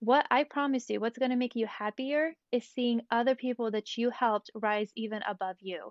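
A woman with an ordinary speaking voice, fairly high in pitch, talks at a moderate pace with ordinary pitch variation and hardly any pauses. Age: 20s. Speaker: small business owner. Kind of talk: casual chat about the Bible.

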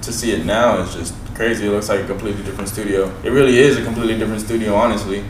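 Very fast speech with an American accent and fairly even intonation, plus noticeable background noise and audible room echo. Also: man. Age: 20s. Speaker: rapper. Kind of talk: casual chat. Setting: studio.

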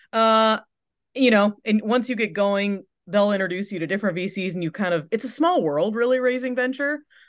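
This woman has a fairly high pitch and an Upper Midwest accent. Her intonation is lively, and she talks at a fairly quick pace. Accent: Upper Midwest American. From West Michigan (Holland). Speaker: tech startup founder and CEO. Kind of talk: interview.

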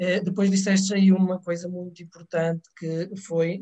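A man's high-pitched voice with a dark, mellow tone, fairly even intonation and moderate pace. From Portugal, Trás-os-Montes, near Chaves. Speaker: preschool teacher. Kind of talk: live panel discussion.

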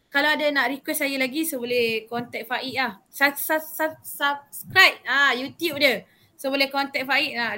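A woman's raised, projected voice, high-pitched, bright and sharp, at a fairly slow pace with hardly any pauses and fairly even intonation. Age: young. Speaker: youth council member and vaccine centre assistant. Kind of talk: casual interview.

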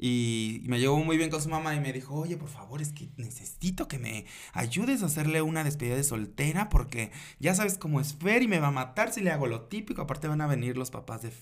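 A man talks at a fairly quick pace in an ordinary speaking voice, pitched fairly high. His intonation is lively. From Mexico, Acapulco, Guerrero. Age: 30s. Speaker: drag queen and performer. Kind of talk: casual interview.

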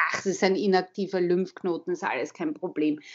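A woman with a medium-pitched voice speaks in a Viennese accent. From Austria, Vienna. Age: 40s. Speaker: advertising agency head and author. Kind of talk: interview. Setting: phone call.

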